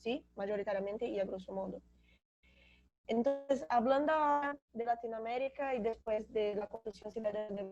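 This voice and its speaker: A woman with a Brazilian accent talks at a moderate pace, her fairly high pitch showing ordinary variation. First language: Portuguese (speaking Spanish). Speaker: graduate student panelist. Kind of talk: academic seminar talk. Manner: halting, with self-corrections.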